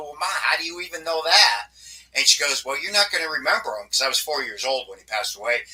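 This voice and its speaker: A man with an American accent rushes along at a very fast pace over noticeable background noise. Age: 60s. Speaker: paranormal investigator. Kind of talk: interview.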